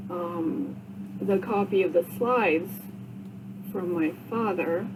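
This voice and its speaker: Against noticeable background noise, a woman talks very slowly in a fairly low pitch with ordinary pitch variation. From Vermont, Rutland. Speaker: podcaster, cancer survivor. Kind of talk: casual monologue podcast. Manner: halting, many fillers.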